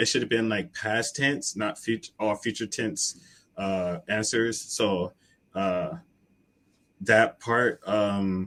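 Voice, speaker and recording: With an American accent, a man speaks at a very slow pace in a fairly low voice, with long, frequent pauses. His pitch varies in an ordinary way. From United States. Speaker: online English tutor. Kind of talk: casual chat.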